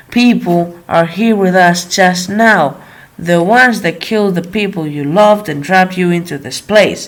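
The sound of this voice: The voice is an unforced reading voice with ordinary pitch variation.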